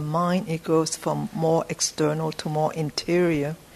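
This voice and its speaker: Over noticeable background noise, a woman with a fairly low pitch speaks at a fairly slow pace with ordinary pitch variation. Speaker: class participant. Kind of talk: casual class comment.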